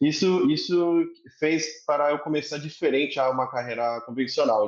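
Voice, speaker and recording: A man speaks at a moderate pace. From Korea, then Brazil from age 10. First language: Korean (speaking Portuguese). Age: 30s. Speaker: entrepreneur, company executive. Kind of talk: podcast interview. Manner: halting, many fillers.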